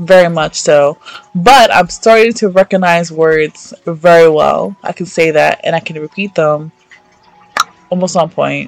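The sound is dry and close with no echo. A woman with a fairly low pitch speaks at a fairly slow pace in an animated tone, with ordinary pitch variation. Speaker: podcast host. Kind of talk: casual chat.

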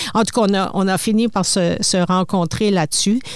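Over noticeable background noise, a woman speaks at a fairly slow pace with a medium pitch and fairly even intonation. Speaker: retired broadcasting executive, publisher. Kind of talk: interview. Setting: studio.

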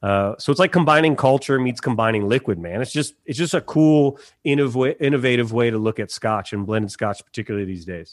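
Enthusiastic and fairly quick, a man at a medium pitch comes through a very clean recording with a silent background, the sound dry and close with no echo. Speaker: whisky brand ambassador. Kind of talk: casual chat.

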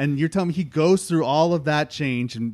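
A man talks at a fairly quick pace in an unremarkable speaking voice, fairly high in pitch, with ordinary pitch variation. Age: 30s. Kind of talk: casual chat.

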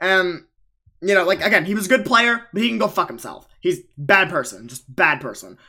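Raised, projected voice with a bright, sharp tone, lively intonation and big swings in loudness. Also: man, high pitch for a man, moderate pace. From Long Island, New York. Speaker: podcast host. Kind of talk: casual chat.

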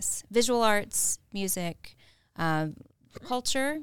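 A woman's normal speaking voice with an American accent, fairly high in pitch, with ordinary pitch variation. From Augusta, Georgia, US South. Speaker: founder of a local arts media outlet. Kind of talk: casual interview chat. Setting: podcast studio.

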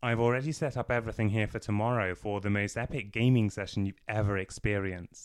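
With an unremarkable speaking voice, a man talks at a fairly quick pace in a fairly low pitch and with fairly even intonation. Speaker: audiobook narrator. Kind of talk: audiobook reading of a novel, narrated with character dialogue.

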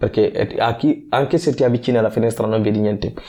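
A man with a dark, mellow tone speaks fairly quickly at a medium pitch with ordinary pitch variation. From Guinea. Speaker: weightlifting athlete. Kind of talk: interview. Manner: halting.

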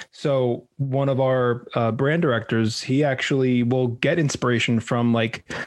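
With a normal speaking voice, a man speaks at medium pitch with fairly even intonation. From New York. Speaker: marketing agency president. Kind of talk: casual chat.

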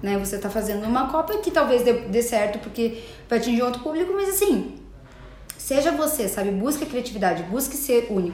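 A woman's high voice with lively intonation at a fairly quick pace, with audible room echo and noticeable background noise. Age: 30s. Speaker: entrepreneur and digital communicator. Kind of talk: interview.

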